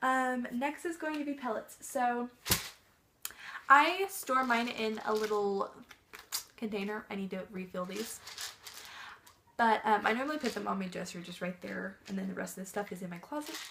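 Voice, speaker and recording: A soft-spoken woman with a fairly high pitch, lively intonation, big swings in loudness, a moderate pace, and long, frequent pauses. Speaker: pet vlogger. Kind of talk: casual tutorial. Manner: hesitant, many fillers.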